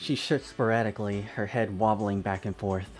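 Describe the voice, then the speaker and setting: Fairly slow, fairly low-pitched male speech with fairly even intonation over music in the background. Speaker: let's player. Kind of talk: reading visual novel text aloud. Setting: home microphone, occasional glitching.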